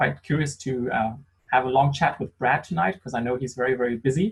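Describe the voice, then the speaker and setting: Somewhat breathy, a man with a German accent speaks fairly quickly at a medium pitch with ordinary pitch variation. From Germany. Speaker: sommelier. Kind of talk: online wine tasting conversation.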